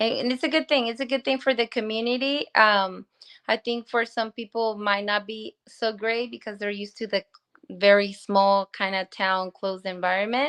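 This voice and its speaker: Moderate pace and ordinary pitch variation, in a Spanish accent. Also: woman, fairly high pitch for a woman. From Guanajuato, Mexico. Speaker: small business owner. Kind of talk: interview.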